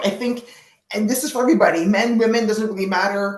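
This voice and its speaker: A woman speaks very fast at a fairly high pitch, with ordinary pitch variation. Audible room echo and noticeable background noise are present. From Canada. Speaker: product marketing manager, webinar speaker. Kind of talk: casual chat before webinar. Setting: live online webinar.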